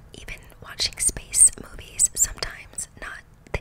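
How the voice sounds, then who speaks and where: A woman whispers her words at a very slow pace. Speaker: ASMR creator. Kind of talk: soft casual ASMR chat, Q&A answers. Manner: soft, close-mic ASMR murmur. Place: home room. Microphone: studio mic.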